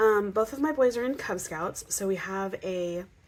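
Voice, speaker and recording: Fairly slow speech from a woman. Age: 30s. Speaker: personal finance vlogger. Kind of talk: casual budgeting tutorial. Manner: hesitant with many fillers.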